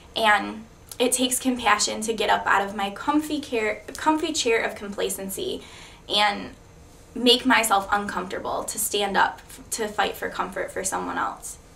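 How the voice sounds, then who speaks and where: A woman speaks at a moderate pace, her loudness swinging widely. The room echo is audible. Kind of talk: testimony. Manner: blunt.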